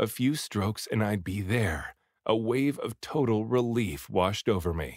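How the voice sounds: The reading voice is natural, with ordinary pitch variation. Nothing else is heard in the background.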